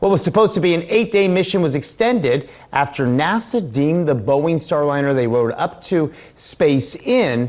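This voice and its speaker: With very wide swings in pitch, the speech goes along at a moderate speed. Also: man. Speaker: television news anchor. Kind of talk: TV news anchor delivery. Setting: TV news studio.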